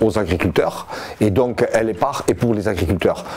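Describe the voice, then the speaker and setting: At a moderate pace and a medium pitch, a man talks while background noise is clearly heard. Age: 60s. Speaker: farmers' union leader. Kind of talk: interview answers.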